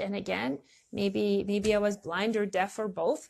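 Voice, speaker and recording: In a quiet background, a woman talks at a fairly slow pace and medium pitch, with ordinary pitch variation. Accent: non-native. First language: not English. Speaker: online marketing coach. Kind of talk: casual talk to camera. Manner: halting, many fillers.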